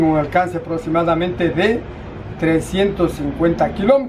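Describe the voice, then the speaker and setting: Against noticeable background noise, a man speaks at a moderate pace in a high voice with ordinary pitch variation. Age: 60s. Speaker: retired railway telecom technician. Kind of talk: oral history interview. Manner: halting.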